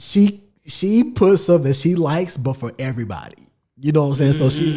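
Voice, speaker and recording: Lively intonation carries delivery that runs at a fairly quick pace. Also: man, fairly high pitch for a man. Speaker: podcast co-host. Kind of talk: casual chat. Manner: loud.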